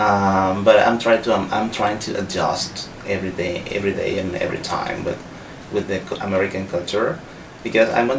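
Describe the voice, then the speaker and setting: Over noticeable background noise and audible room echo, a man with a Spanish accent talks at a moderate pace in a fairly low pitch. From Venezuela. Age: 30s. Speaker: visiting English professor, scholarship holder. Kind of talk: interview. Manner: halting, with frequent fillers and restarts.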